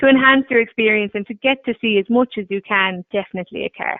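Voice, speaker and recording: A woman speaks with an Irish accent. Her pitch is fairly high, with ordinary variation. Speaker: tourism board representative. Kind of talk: webinar Q&A. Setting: webinar call.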